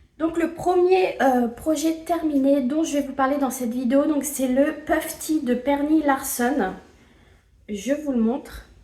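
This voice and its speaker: Over noticeable background noise, a woman speaks at a very slow pace in a high pitch with ordinary pitch variation. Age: 20s. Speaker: knitting vlogger. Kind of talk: casual video podcast monologue. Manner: hesitant, many filler sounds.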